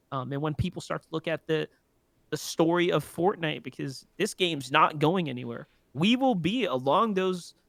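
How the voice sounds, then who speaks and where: In a dry, close sound with no echo, a man with an American accent speaks at a fairly high pitch and a moderate pace with lively intonation. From New York City, the Bronx. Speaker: esports caster and entrepreneur. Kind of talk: casual podcast chat. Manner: halting, many fillers and repeats.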